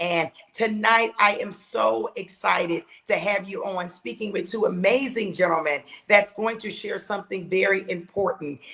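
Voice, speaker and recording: A woman speaks at a medium pitch and moderate pace with ordinary pitch variation. Noticeable background noise is present. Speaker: podcast host. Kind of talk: podcast show opening.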